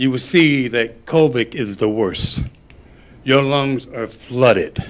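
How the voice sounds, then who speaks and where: A man speaks at a very slow pace. His pitch sits in the medium range. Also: ordinary pitch variation. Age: 60s. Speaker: parent speaking at public comment. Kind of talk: public comment at school board meeting. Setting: school board meeting.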